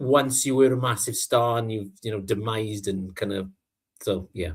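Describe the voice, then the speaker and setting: Somewhat breathy and medium in pitch, a man with a British accent speaks at a moderate pace in a very clean recording with a silent background. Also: ordinary pitch variation. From Britain. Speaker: vinyl record show co-host. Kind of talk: casual chat. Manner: usually sounds tired.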